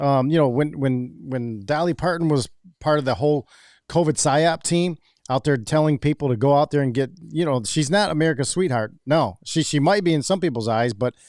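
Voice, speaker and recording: The recording is very clean, with a silent background. A man with an ordinary speaking voice talks at a fairly quick pace, his pitch fairly high with ordinary variation and his loudness very even. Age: 50s. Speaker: podcast host. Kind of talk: casual chat.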